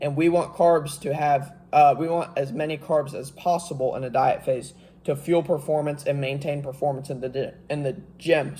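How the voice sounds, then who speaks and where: A man's put-on character voice, raspy and fairly high, with fairly even intonation at a moderate pace. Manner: stuttering, unedited.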